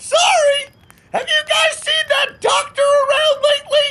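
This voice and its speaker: Someone uses a put-on character voice with extremely high pitch, moving at a fairly slow pace. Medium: audio drama.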